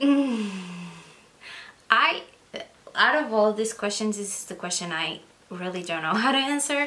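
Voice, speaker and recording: A woman with a Portuguese accent and a fairly high pitch, lively intonation at a moderate pace, long frequent pauses, big swings in loudness, audible room echo and noticeable background noise. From Portugal. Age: 20s. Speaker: book vlogger. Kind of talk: casual vlog talk.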